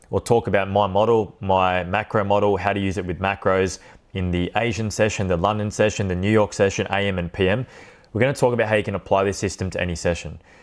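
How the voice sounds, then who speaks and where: In an Australian accent, the speaker goes at a very fast pace with fairly even intonation on a very clean recording with a silent background. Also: man, fairly low pitch for a man. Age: 20s. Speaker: trading educator. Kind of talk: tutorial. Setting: recorded to camera. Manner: casual, unscripted.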